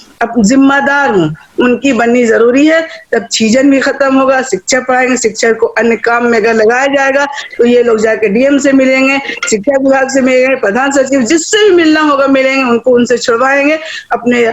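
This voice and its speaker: A woman at a high pitch with ordinary pitch variation and very even loudness, against noticeable background noise. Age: 60s. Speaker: education activist. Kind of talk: public speech. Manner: animated.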